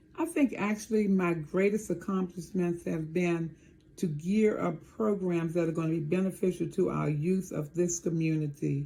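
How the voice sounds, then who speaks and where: A woman's somewhat breathy, fairly low voice in a dark, mellow tone, with an American accent, fairly even intonation and a moderate pace. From Maryland, near Washington DC. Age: 70s. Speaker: town mayor. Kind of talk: interview.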